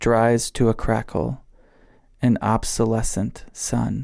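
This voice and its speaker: The recording is very clean, with a silent background. A man speaks at a medium pitch in a dark, mellow tone. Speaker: podcast host. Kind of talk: casual chat. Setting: outdoors.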